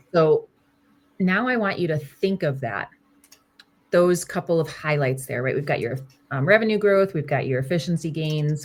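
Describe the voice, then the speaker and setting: Over music in the background, a woman with a very deep, low pitch speaks at a moderate pace with ordinary pitch variation. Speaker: career coach. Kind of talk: one-on-one coaching call.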